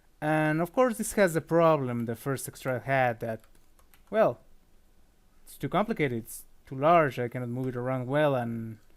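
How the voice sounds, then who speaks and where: The recording is very clean, with a silent background. A man speaks at a fairly slow pace and a fairly high pitch. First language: not English. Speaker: 3D sculptor. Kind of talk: software tutorial. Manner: casual, with filler words and self-corrections.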